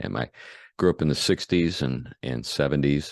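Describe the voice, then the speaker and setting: A man talks at a very deep, low pitch. The sound is dry and close, with no echo. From US Northeast/Midwest (Buffalo, St. Louis). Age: 60s. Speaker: pastor. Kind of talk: interview. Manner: hesitant, many fillers.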